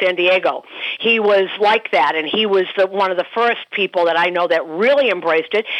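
A woman with an unremarkable speaking voice talks at a fairly quick pace, at medium pitch with ordinary pitch variation. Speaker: baseball broadcaster. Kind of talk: casual chat.

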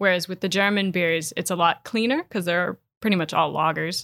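The speaker has a Wisconsin accent. The recording is very clean, with a silent background. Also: woman. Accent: Upper Midwest (Wisconsin). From Wisconsin, Door County. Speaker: certified beer expert and writer. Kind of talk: casual interview.

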